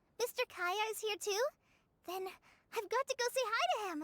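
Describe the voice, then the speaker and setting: A woman puts on a squeaky character voice at an extremely high pitch, speaking at a moderate pace in a dry, close sound with no echo. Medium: video game. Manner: earnest, slightly shy.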